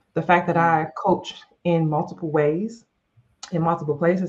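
In a plain, everyday voice, a woman speaks at a moderate pace, with a fairly low pitch and fairly even intonation. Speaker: life and leadership coach, podcast co-host. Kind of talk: casual chat.

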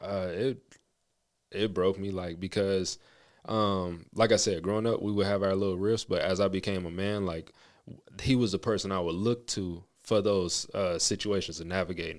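A man with an American accent talks at a moderate pace and a fairly low pitch, with fairly even intonation. It is an ordinary speaking voice, in a very clean recording with a silent background. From US West, Las Vegas. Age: 20s. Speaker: guest sharing marriage testimony. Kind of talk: testimony.

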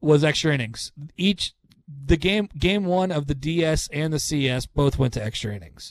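Recorded with a dry, close sound and no echo, a man speaks at a fairly slow pace and fairly high pitch with ordinary pitch variation. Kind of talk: casual chat.

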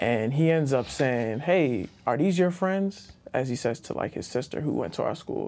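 A man's ordinary speaking voice, fairly high in pitch, with lively intonation and hardly any pauses. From Baltimore, Maryland, US. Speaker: attorney. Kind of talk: casual interview.

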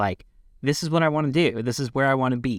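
A man speaks in a normal speaking voice. The sound is dry and close with no echo, in a very clean recording with a silent background. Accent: American. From Pennsylvania. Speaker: podcast co-host. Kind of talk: interview.

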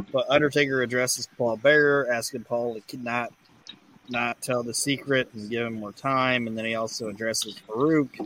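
A man talks at a moderate pace with fairly even intonation. It is a plain, everyday voice. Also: medium pitch for a man. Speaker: podcast host. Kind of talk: casual chat.

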